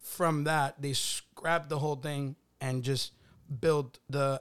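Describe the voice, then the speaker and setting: In a very clean recording with a silent background, a man with an ordinary speaking voice and medium pitch talks at a fairly slow pace with fairly even intonation. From immigrant to US, arrived age 11. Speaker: clothing brand co-founder. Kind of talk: casual chat.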